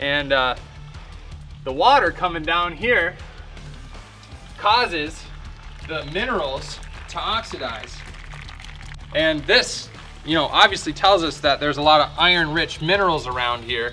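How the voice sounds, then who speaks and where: Faint music plays behind a man who speaks at a fairly slow pace with long, frequent pauses. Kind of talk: casual vlog chat. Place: tunnel cave.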